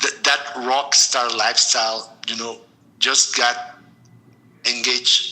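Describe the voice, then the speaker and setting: Against noticeable background noise, a man with a Mexican accent speaks at a moderate pace and medium pitch, his intonation fairly even. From Mexico City, Mexico. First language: Spanish. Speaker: storytelling podcast guest. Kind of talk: interview. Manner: halting.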